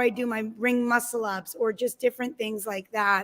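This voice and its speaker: A woman's high pitch with ordinary pitch variation. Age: 40s. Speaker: affiliate gym owner, coach and competitive athlete. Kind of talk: casual chat. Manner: halting.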